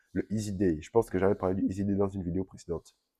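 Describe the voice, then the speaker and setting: A man speaks with a very deep, low pitch and a dark, mellow tone, his intonation fairly even. The sound is dry and close, with no echo. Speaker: vlogger. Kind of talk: casual vlog update. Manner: hesitant, many fillers.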